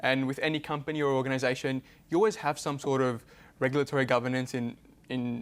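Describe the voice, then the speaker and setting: On a very clean recording with a silent background, a man with an Australian accent talks at a medium pitch and a very fast pace. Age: 20s. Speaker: youth advocate. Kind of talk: panel discussion.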